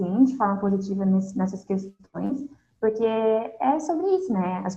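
A woman speaks very slowly in a dark, mellow tone with lively intonation. Her voice is somewhat breathy. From southern Brazil. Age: 20s. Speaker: university student and Instagram content creator. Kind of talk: casual interview chat. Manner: calm.

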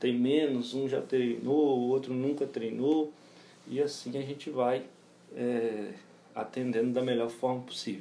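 Fairly slow and with fairly even intonation, a man speaks at a medium pitch in a dark, mellow tone. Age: 30s. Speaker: personal trainer and gym owner. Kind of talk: interview. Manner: halting, many fillers.

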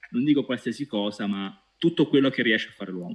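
A man's voice at medium pitch, with very wide pitch swings. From Italy, Pescara (Abruzzo). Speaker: data science team leader. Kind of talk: interview. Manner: halting, many repetitions.

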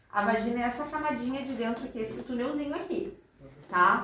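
Speaking at a moderate pace, a woman with a high pitch and lively intonation is heard with audible room echo and noticeable background noise. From Rio Grande do Sul, Brazil (Porto Alegre). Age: 40s. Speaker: gynecologist. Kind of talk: educational talk with students.

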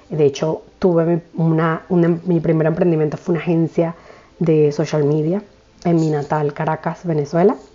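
In a fairly low pitch, a woman speaks at a moderate pace with monotone, flat intonation. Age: 30s. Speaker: podcast host, spiritual coach. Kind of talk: casual monologue.

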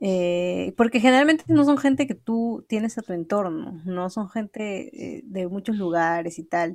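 With lively intonation, a woman speaks at a medium pitch in an unremarkable speaking voice. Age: young. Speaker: podcast co-host. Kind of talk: casual chat.

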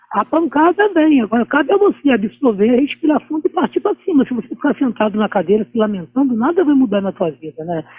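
The speaker races along at a very fast pace with hardly any pauses and very wide pitch swings. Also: man, extremely high pitch for a man. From Rio de Janeiro, Brazil. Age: 50s. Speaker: ultramarathon runner. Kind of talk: interview. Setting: remote interview.

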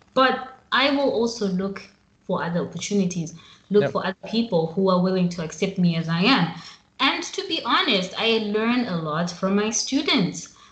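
The speaker has an American accent and lively intonation at a moderate pace. Background noise is noticeable. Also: woman, medium pitch for a woman. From Zimbabwe. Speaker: podcast host. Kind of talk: casual interview. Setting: remote call.

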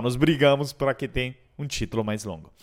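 A plain, everyday voice from a man at medium pitch and moderate pace, on a very clean recording with a silent background. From Europe. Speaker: podcast host and speaker on digital transformation. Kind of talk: podcast monologue.

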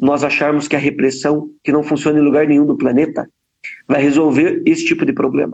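At a moderate pace, a man with a normal speaking voice talks fairly high in pitch with ordinary pitch variation. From Brazil, Paraná (Ponta Grossa). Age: 30s. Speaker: politician. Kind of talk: interview.

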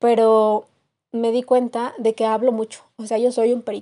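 In a central Mexican accent, a woman speaks with a fairly high pitch and a dark, mellow tone. Her intonation is monotone and flat, and the sound is dry and close with no echo. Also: quiet background. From Mexico, Querétaro. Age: 20s. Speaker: podcast host, university student. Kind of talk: casual monologue. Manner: halting, many fillers.

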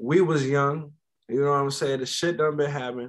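A man with an American accent, fairly high pitch, a very fast pace and fairly even intonation. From Frederick, Maryland. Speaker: podcast guest. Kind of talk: casual chat.

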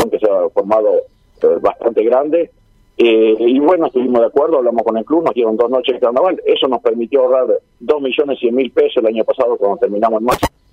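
With very even loudness, a man talks at a very fast pace. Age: 60s. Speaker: carnival organizer. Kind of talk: radio interview.

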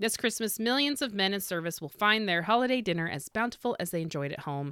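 A woman's upbeat, bright, sharp voice with an American accent and very wide pitch swings, in a very clean recording over a silent background. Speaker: podcast host, author and historian. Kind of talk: scripted narration, history podcast; read-aloud 1940s wartime advertisement, brisk announcer style. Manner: brisk, upbeat, persuasive ad-copy delivery; friendly, conversational, occasionally halting.

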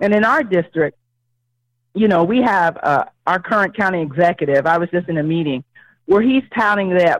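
A woman with an American accent speaks in an ordinary speaking voice at a medium pitch with ordinary pitch variation. The sound is dry and close, with no echo. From Ohio, US Midwest (Cincinnati). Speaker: political candidate, educator. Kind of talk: interview.

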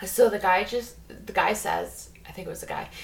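Noticeable background noise fills the recording. Through it, a woman talks at a moderate pace. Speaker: podcast host. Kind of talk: casual chat, storytelling.

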